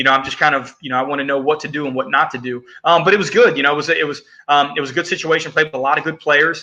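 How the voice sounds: A man talks at a very fast pace with a bright, sharp tone. His pitch is fairly high, and his intonation stays fairly even.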